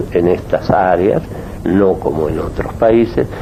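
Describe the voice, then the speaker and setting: A man with a very deep, low voice speaks at a fairly slow pace and with fairly even intonation over noticeable background noise. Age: 70s. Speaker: gynecologist and politician. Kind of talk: radio interview. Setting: at his home office.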